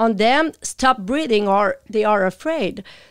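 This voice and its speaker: A woman's fairly high voice in a strong Quebec accent, very slow in pace yet lively in intonation. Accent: thick French Quebec. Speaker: animal communicator. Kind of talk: interview.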